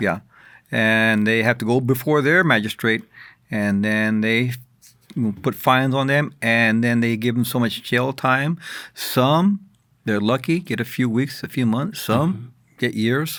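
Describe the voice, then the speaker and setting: A man with an American accent talks at a fairly slow pace in a medium pitch, with long, frequent pauses. The recording is very clean, with a silent background. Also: ordinary pitch variation. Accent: Texas, Tejano. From San Antonio, Texas. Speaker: radio producer. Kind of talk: interview answer.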